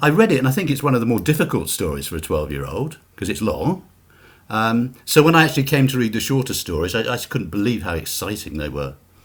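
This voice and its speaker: Very fast and with vocal fry, a man with a British accent speaks at a medium pitch in very wide pitch swings. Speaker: author. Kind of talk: interview. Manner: halting.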